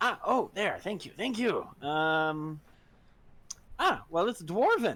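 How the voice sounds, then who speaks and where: A man talks fairly slowly in a put-on character voice. His pitch is high. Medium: actual play. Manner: hesitant, stammering.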